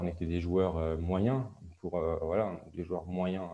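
In a very deep, low voice, a man speaks in a monotone, flat intonation. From Alsace, France. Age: 20s. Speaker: handball referee. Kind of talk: interview. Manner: hesitant, many fillers.

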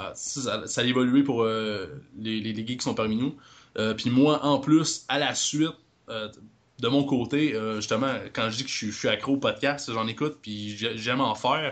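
A man speaks in a normal speaking voice at medium pitch. He goes at a fairly slow pace with ordinary pitch variation. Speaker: podcaster. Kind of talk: casual chat.

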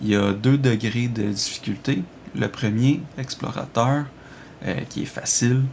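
A man's medium-pitched voice, very slow in pace, with fairly even intonation. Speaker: video game reviewer. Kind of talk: recorded review reading.

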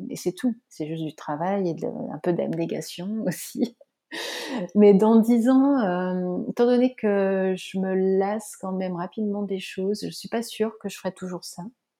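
Her voice has a dark, mellow tone and a medium pitch with ordinary variation. The woman speaks at a fairly slow pace. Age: 40s. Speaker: web developer and former photographer. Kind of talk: casual interview.

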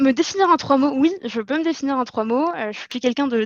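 Against a quiet background, a woman speaks with ordinary pitch variation in a dry, close sound with no echo. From Morocco, Casablanca. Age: 20s. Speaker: marketing manager. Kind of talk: interview. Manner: halting, many hesitations.

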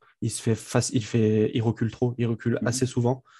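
A man speaks in a monotone, with flat intonation and a dark, mellow tone. His voice is somewhat breathy over a quiet background. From France, Grenoble. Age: 20s. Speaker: sports fan account manager. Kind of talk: casual chat.

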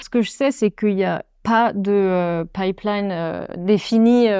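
A woman's voice at medium pitch with a dark, mellow tone, very slow pace and fairly even intonation, on a very clean recording with a silent background and a dry, close sound free of echo. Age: 20s. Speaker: storyboard artist. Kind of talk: casual interview. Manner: hesitant, many fillers.

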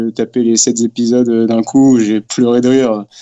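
The man speaks at a very slow pace. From France. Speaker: podcast listener invited on the show. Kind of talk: casual chat. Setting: video call.

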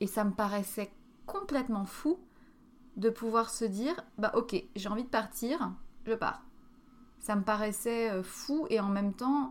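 A woman at a fairly high pitch, with ordinary pitch variation and a fairly slow pace. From France. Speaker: podcast host. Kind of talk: solo monologue podcast. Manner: hesitant, many fillers.

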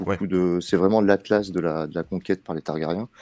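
A man talks at a very fast pace in a dark, mellow tone. The recording is very clean with a silent background and a dry, close sound with no echo. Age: 30s. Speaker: TV series fan commentator. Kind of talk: casual chat. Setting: late-night Twitch live stream.

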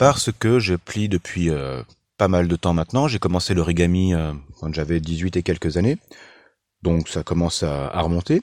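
In a very clean recording with a silent background and a dry, close sound free of echo, a man with a very deep, low voice speaks at a moderate pace. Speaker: podcaster. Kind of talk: casual monologue. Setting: in a car. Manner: halting, repeats words.

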